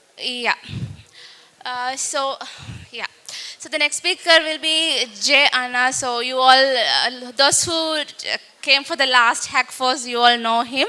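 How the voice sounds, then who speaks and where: A woman with a Tamil accent speaks in a raised, projected voice at a high pitch, her intonation fairly even. Her pace is fairly slow, and background noise is noticeable. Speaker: event host. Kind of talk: event hosting. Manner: halting.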